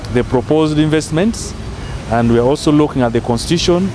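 A man at a fairly quick pace, with ordinary pitch variation, music in the background, and a dry sound with no echo. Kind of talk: interview answer. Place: garden.

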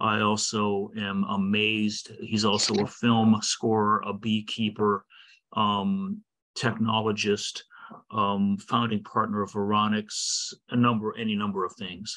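Over a quiet background, a man reads at a fairly slow pace with a fairly low pitch, a bright, sharp tone and monotone, flat intonation. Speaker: podcast host and meeting moderator. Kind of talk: moderated interview. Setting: video call. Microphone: video call.

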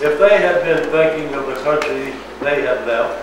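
A fairly slow pace, with audible room echo and noticeable background noise. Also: man. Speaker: pastor. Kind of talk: scripture reading aloud. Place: church. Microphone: camera far.

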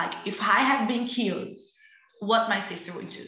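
A woman's fairly high voice in a Portuguese accent, with fairly even intonation, a moderate pace and audible room echo. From Brazil, Rio de Janeiro favela. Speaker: activist; panelist. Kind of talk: online panel discussion. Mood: earnest, passionate. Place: home room. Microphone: video call.

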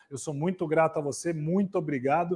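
Talking at a fairly quick pace, a man with a Brazilian accent has a high pitch for a man. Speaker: event host. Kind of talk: live event hosting. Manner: animated. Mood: warm, grateful.

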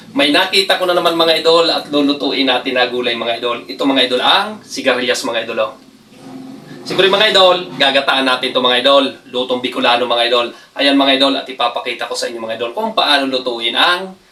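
An animated man at medium pitch and a fairly quick pace, his intonation lively, over noticeable background noise. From Bicol, Philippines. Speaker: cooking vlogger. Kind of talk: cooking tutorial. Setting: home kitchen.

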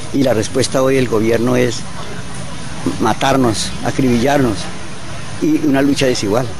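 Speaking in a monotone with flat intonation, a man is heard in a dry sound with no echo over noticeable background noise. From Colombia. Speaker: coffee farmer. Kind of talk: interview answer. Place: open country. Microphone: handheld.

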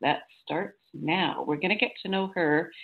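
Lively in intonation but fairly slow in pace, a woman speaks in a plain, everyday voice. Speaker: radio show host. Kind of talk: radio show host intro.

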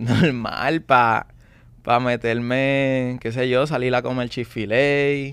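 Here a man speaks at a very slow pace with fairly even intonation. The sound is dry, with no echo. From Puerto Rico. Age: 20s. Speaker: young salesman. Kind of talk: interview testimony. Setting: studio. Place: studio. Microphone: studio mic.

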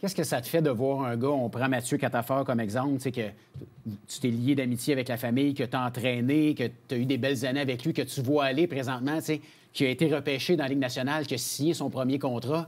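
A man speaks at a very fast pace. His intonation stays fairly even. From Quebec. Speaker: sports TV co-host; show host. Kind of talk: interview. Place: studio.

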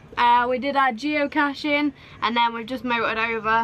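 A woman speaks at a high pitch against light background noise. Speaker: sailing vlogger. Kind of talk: casual vlog chat. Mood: relaxed, chatty. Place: boat. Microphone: phone near.

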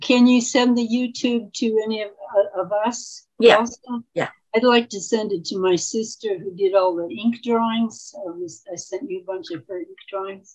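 A somewhat breathy woman with an American accent, moderate pace, ordinary pitch variation and big swings in loudness, quiet background. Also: fairly high pitch for a woman, hardly any pauses. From Oregon. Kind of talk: casual chat. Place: home room. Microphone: video call.

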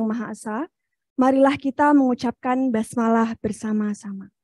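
A woman's high voice with a dark, mellow tone and fairly even intonation, dry with no echo, over a quiet background. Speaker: MC. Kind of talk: formal MC announcement. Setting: sound check on stage, hybrid event. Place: hall. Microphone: podium.

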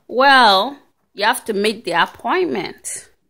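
A woman's fairly high, bright, sharp voice at a slow pace, with lively intonation

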